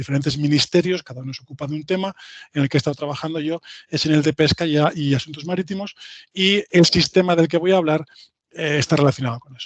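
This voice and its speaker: Speaking very fast in a fairly high pitch, a man uses ordinary pitch variation, heard in a dry, close recording with no echo. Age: 40s. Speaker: IT engineer, invited speaker. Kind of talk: lecture. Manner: halting, many fillers and repetitions.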